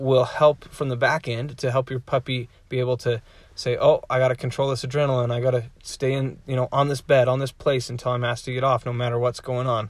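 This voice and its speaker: Somewhat breathy, medium-pitched male voice at a fairly quick pace, on a very clean recording with a silent background. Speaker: dog trainer podcast host. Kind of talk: casual solo podcast tutorial. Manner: filler-heavy, conversational.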